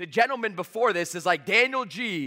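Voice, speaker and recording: A man's raised, projected voice, high in pitch, bright and sharp in tone, with lively intonation. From Canada, Toronto. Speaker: sales trainer. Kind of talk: motivational talk. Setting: stage with audience. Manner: fast; high energy.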